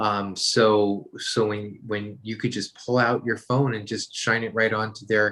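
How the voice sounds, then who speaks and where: Speaking at a moderate pace, a man with an American accent uses a normal speaking voice at medium pitch, recorded very cleanly against a silent background. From New York. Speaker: author and brand consultant. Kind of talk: interview.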